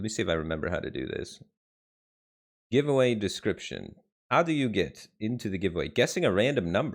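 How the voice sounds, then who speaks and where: A man with an American accent and a fairly low pitch speaks at a fairly quick pace with very wide pitch swings, vocal fry, and long, frequent pauses. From Detroit, US Midwest. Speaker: game streamer. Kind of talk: live stream chat. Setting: live stream.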